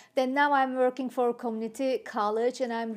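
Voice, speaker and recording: A woman with a Turkish accent speaks at a high pitch and moderate pace, her intonation fairly even. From Turkey (Ankara). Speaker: city council candidate and college educator. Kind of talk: interview. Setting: studio. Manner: halting.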